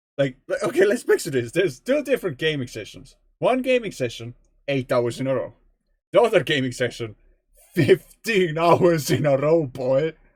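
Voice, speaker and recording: This man has a fairly high voice with very wide pitch swings. His pace is moderate. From Estonia. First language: Estonian. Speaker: video game streamer. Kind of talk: casual gameplay live stream. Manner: rambling, chatty.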